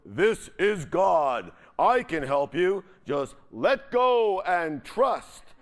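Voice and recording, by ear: A man bellowing in a put-on character voice, high-pitched and very slow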